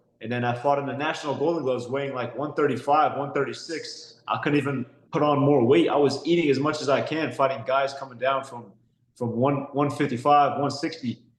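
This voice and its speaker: Speaking quickly-ish with a fairly high pitch, a man with an American accent keeps his intonation monotone and flat. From San Diego, California, US. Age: 20s. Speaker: professional boxer. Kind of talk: interview. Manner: repeats words, hesitant.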